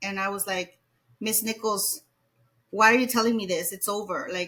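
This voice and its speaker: At a fairly slow pace, a woman speaks with a Spanish accent. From Mexico. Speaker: educator. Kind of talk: interview.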